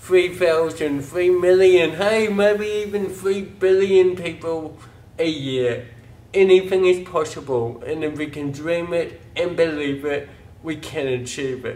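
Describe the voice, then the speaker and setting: In a New Zealand accent, a man speaks fairly slowly in a high-pitched voice with ordinary pitch variation. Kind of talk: campaign pitch to camera. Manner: upbeat.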